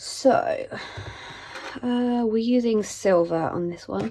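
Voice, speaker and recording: With a British accent, a woman speaks at a fairly high pitch. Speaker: budgeting content creator. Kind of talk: casual vlog chat. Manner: hesitant, many ums.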